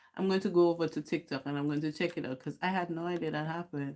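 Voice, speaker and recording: Someone with a Caribbean accent talks at a very fast pace on a very clean recording with a silent background. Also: woman. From Dominica. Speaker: YouTuber. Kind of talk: casual livestream chat. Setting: livestream at home.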